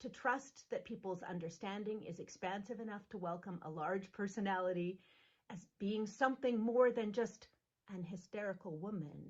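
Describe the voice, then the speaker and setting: Pitch moves in an ordinary way. The delivery keeps a moderate pace. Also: woman. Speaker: minister. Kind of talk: sermon. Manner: loud; animated.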